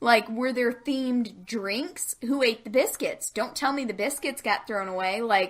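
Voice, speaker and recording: A woman with an American accent speaks in a normal speaking voice, fairly high in pitch, with ordinary pitch variation. Her fairly slow pace has hardly any pauses, and the recording is very clean with a silent background. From US South. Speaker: podcast co-host. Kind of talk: casual chat.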